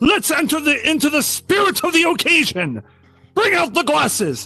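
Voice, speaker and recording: A man performs a put-on character voice at a moderate pace. Faint music plays in the background. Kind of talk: vintage radio drama performance. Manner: hearty, jovial.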